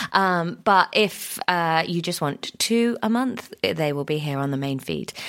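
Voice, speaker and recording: This woman has a British accent and lively intonation. She speaks with hardly any pauses. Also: fairly low pitch for a woman. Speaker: podcast co-host. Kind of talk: casual chat.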